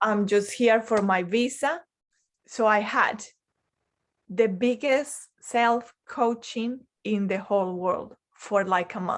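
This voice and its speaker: The speaker has a non-native accent and talks at a very slow pace with ordinary pitch variation. The recording is very clean, with a silent background. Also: woman, fairly high pitch for a woman. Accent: foreign. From Colombia. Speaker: life coach. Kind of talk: interview.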